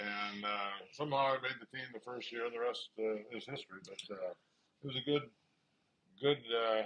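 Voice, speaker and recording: A man with a Midwestern US accent talks with fairly even intonation. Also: medium pitch for a man, moderate pace. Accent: US Midwest. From Nebraska. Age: 70s. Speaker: retired pro football player. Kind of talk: family interview. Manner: halting.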